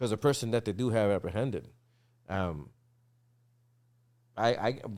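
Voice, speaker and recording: Speaking with an American accent, a man talks at a moderate pace and a fairly low pitch with ordinary pitch variation. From Massachusetts, US. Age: 40s. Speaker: drummer. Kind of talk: casual chat. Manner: halting.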